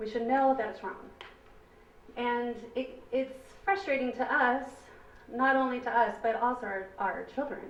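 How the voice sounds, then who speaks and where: The voice is loud, with long, frequent pauses at a moderate pace. Noticeable background noise and audible room echo fill the recording. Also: woman, high pitch for a woman, ordinary pitch variation. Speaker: parent speaking at public comment. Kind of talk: public comment at board meeting.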